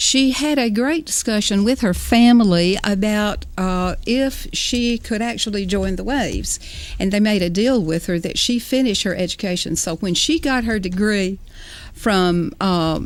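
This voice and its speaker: At a fairly slow pace, a woman with a Southern US accent speaks at a medium pitch with ordinary pitch variation. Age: 70s. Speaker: author. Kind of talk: interview.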